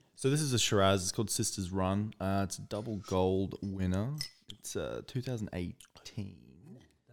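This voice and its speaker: Here a man with an Australian accent speaks at a fairly low pitch and a moderate pace. His pitch varies normally, and the recording is very clean with a silent background. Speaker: podcast co-host. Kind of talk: casual chat.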